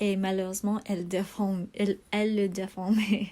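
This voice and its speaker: The voice has a dark, mellow tone, somewhat breathy, with monotone, flat intonation and a non-native accent. The recording is very clean, with a silent background. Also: woman. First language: not French (speaking French). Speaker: video blogger. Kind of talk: casual product show-and-tell. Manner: halting, many hesitations.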